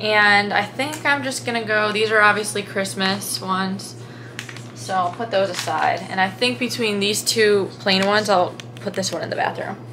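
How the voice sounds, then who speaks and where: A woman speaks at a moderate pace with very wide pitch swings. Music plays in the background. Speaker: college student vlogger. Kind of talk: casual vlog chat. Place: home room.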